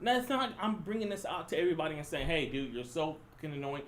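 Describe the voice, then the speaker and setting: Loud and with very wide pitch swings, a man speaks amid audible room echo. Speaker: podcast co-host. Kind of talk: casual chat. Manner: animated.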